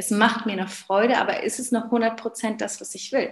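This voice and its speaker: The delivery is fairly quick, with vocal fry. The intonation stays monotone and flat. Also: woman. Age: 30s. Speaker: business coach and former physiotherapist. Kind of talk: interview.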